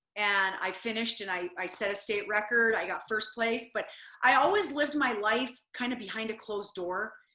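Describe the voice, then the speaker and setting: A normal speaking voice from a woman, fairly high-pitched, at a moderate pace with ordinary pitch variation. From US Midwest (South Dakota, small town). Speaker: motivational speaker and former reality show contestant. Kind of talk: interview.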